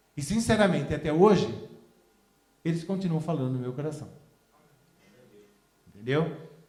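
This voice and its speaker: Pausing long and often, a man with a fairly high pitch talks amid noticeable background noise and audible room echo. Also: ordinary pitch variation, moderate pace. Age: 60s. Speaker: pastor. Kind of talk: sermon. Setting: church. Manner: halting.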